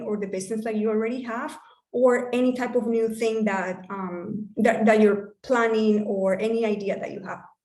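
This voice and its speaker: Audible room echo surrounds a woman speaking at a moderate pace in a fairly high pitch. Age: 40s. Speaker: business coach. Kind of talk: online workshop talk. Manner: animated.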